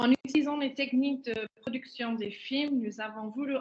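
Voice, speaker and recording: With an English accent, a woman speaks at a fairly slow pace and with fairly even intonation. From England. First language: English (speaking French). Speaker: head of an event robotics product. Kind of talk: webinar presentation.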